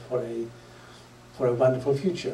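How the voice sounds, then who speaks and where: The speaker has a Polish accent. Noticeable background noise and audible room echo fill the recording. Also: man. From Poland. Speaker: public speaker. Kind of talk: lecture. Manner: halting, many fillers.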